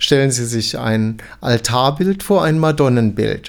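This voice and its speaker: Ordinary pitch variation in a normal speaking voice, delivered at a fairly slow pace. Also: man. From Saarland, Germany (Dillingen). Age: 60s. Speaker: art educator, museum expert. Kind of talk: interview, expert explanation.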